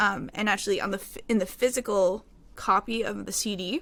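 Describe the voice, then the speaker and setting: A woman with a Newfoundland accent speaks at a fairly high pitch and moderate pace, her intonation fairly even. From Newfoundland, Canada (Mount Pearl). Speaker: singer-songwriter. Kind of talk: interview.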